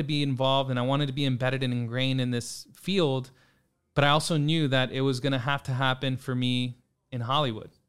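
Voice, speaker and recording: In an American accent, a man speaks at a fairly quick pace and a medium pitch. He has an ordinary speaking voice with fairly even intonation. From San Antonio, Texas. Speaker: tech company partnerships lead. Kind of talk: interview.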